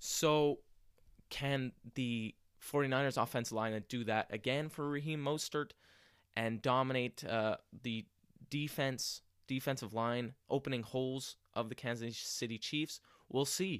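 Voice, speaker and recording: The man speaks at a fairly slow pace with fairly even intonation. He leaves long, frequent pauses. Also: medium pitch for a man. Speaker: sports podcast host. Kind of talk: solo sports podcast monologue. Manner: frequent filler words and hesitations.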